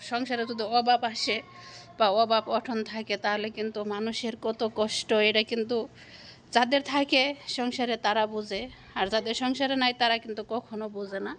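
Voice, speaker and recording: This woman's voice sits fairly high and stays monotone, with flat intonation. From Bangladesh. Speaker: domestic worker vlogger. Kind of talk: personal life story. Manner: halting.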